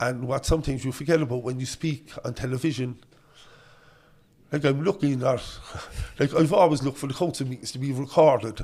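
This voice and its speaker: The speaker has a Cork accent and a dark, mellow tone that is somewhat breathy, with ordinary pitch variation. The pace is fairly quick, broken by long, frequent pauses. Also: man, fairly high pitch for a man. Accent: Cork Irish. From Ireland, Cork northside (Knocknaheeney). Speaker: politician. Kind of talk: casual chat. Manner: quivering at times.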